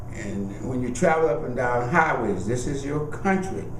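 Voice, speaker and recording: A man speaks at a moderate pace with a medium pitch and ordinary pitch variation. Noticeable background noise and audible room echo surround him. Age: 70s. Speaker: oral history interviewee, lawyer. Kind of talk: oral history interview. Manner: reflective, earnest storytelling.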